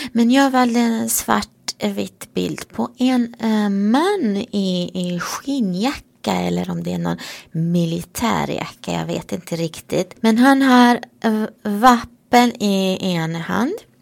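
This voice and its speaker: A woman talks at a very slow pace in a Romanian accent. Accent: Romanian-accented Swedish. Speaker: priest. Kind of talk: casual chat.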